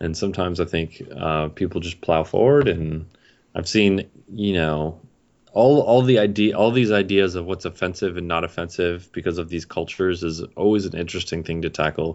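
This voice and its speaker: Very deep and low, a man's voice moves along at a moderate pace. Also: ordinary pitch variation. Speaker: video game developer. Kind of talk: casual chat. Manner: unenthusiastic.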